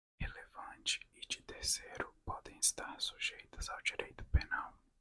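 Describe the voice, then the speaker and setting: The voice belongs to a woman. She whispers at a fairly slow pace. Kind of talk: ASMR reading of law text. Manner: whispered, soft.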